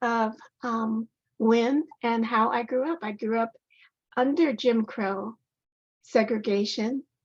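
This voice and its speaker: A woman with an American accent speaks at a very slow pace and a fairly high pitch. She leaves long, frequent pauses. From Colorado. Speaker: author. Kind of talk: speech. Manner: hesitant, many fillers.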